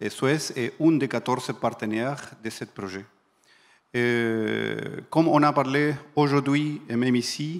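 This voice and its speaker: With a non-native accent, a man of medium pitch talks at a very slow pace with ordinary pitch variation and long, frequent pauses, in a very clean recording with a silent background. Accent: foreign. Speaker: industry project manager. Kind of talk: panel talk.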